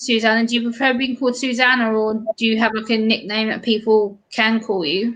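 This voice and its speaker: A fairly high-pitched woman with a British accent, fairly quick and monotone, with hardly any pauses. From UK. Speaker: live stream co-host. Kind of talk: casual chat.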